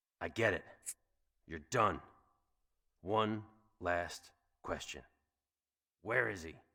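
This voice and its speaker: In a put-on character voice, a man speaks raspy, very deep and low, at a fairly slow pace. Long, frequent pauses break it up, and his loudness swings widely. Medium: video game. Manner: gruff, sardonic.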